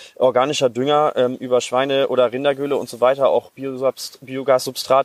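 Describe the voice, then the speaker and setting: A man at medium pitch, in a dry, close sound with no echo. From Germany, Hassel. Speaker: farmer and agricultural scientist. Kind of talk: interview. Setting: outdoors. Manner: halting.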